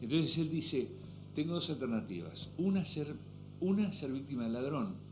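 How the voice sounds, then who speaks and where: Music plays behind a man speaking at a moderate pace. His intonation is lively, and the room echo is audible. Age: 60s. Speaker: businessman and author. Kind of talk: interview conversation.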